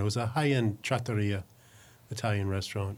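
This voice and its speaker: On a very clean recording with a silent background, a man with an American accent talks at a fairly quick pace in a fairly low, somewhat breathy voice with fairly even intonation. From New Jersey. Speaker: executive chef. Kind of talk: casual chat.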